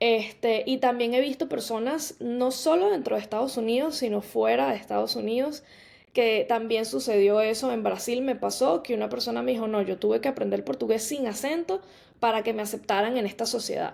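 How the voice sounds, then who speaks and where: A woman speaks at a fairly quick pace with a fairly high pitch. She has an ordinary speaking voice with ordinary pitch variation. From Venezuela. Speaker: podcast host, life coach. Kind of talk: podcast monologue. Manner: casual, many fillers.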